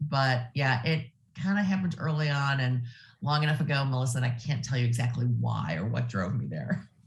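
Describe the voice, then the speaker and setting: A woman's very deep, low voice at a fairly quick pace, with ordinary pitch variation and music in the background. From US Midwest, Ohio. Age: 60s. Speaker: nonprofit executive. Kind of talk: interview.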